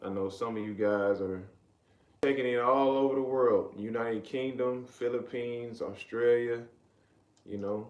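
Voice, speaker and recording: A man talks with an American accent and fairly even intonation. Audible room echo surrounds his voice. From US South, Riverdale, Georgia (south Atlanta). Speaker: live streamer. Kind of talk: casual live stream chat. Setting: live stream.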